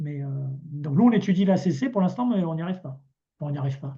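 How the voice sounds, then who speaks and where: His tone is dark and mellow. The man also sounds somewhat breathy. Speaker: cooperative volunteer presenting experience. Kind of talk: online meeting presentation. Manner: fast; hesitant, many repetitions.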